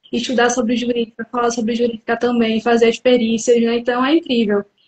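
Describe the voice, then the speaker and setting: The speaker talks at a moderate pace with a northeastern Brazilian accent. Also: woman. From interior of Pernambuco, Brazil (Carpina). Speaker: psychologist. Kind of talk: live interview. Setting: online live stream.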